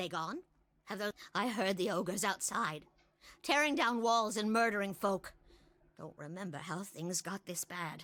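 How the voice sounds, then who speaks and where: On a very clean recording with a silent background, a woman puts on a character voice at medium pitch, keeping a moderate pace broken by long, frequent pauses. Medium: actual play.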